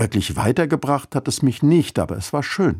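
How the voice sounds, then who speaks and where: Lively in intonation and somewhat breathy, a man talks at a moderate pace on a very clean recording with a silent background. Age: 50s. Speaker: church radio speaker. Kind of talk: scripted radio devotional.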